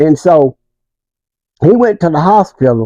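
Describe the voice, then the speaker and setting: With an American accent, a man speaks at a moderate pace in a dark, mellow tone with very wide pitch swings, the sound dry and close with no echo. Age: 70s. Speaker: community elder. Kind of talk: interview.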